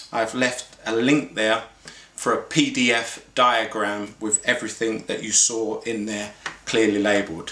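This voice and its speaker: Noticeable background noise runs under this man's voice. He speaks with an English accent at a medium pitch and a fairly slow pace. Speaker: barber and clipper repair expert. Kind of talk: tutorial. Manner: casual, with fillers.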